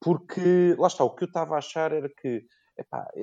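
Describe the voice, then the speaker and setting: In a dark, mellow tone, a man talks at a moderate pace over a quiet background. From Portugal, Lisbon area (Cascais line). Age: 30s. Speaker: financial consultant and amateur rock climber. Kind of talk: interview. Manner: hesitant, frequent repetitions.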